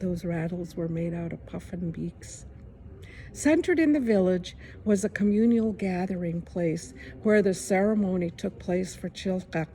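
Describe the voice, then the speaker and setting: Somewhat breathy and dark, mellow in tone, a woman speaks at medium pitch and a moderate pace with ordinary pitch variation. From Kodiak Island, Alaska. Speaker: Alaska Native artist and storyteller. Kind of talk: storytelling.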